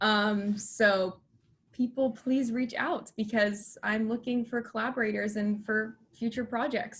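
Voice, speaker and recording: A woman with an American accent and a fairly high pitch sounds somewhat breathy, speaking at a moderate pace with fairly even intonation. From Texas. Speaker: film company founder, student. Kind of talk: interview.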